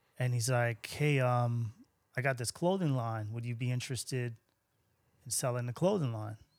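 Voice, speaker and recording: A man with a New York accent talks at a moderate pace with ordinary pitch variation and long, frequent pauses. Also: medium pitch for a man. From Long Island, New York. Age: 50s. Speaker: sneaker shop owner. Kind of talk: casual interview.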